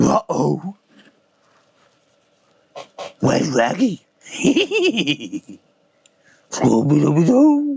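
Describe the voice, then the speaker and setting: A man puts on a character voice, pitched fairly high. He speaks very slowly. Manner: cartoonish.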